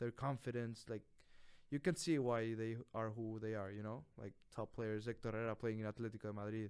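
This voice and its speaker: A man with a Spanish accent talks at a fairly quick pace and a medium pitch. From Mexico. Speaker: college soccer player. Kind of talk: casual interview. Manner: animated.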